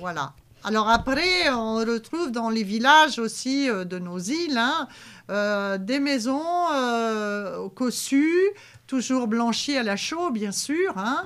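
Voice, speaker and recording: Speaking at a very slow pace, a woman with a Poitou accent uses a fairly high pitch and very wide pitch swings. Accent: Poitevin regional patois. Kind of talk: local TV heritage talk show. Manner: casual, conversational, with frequent fillers.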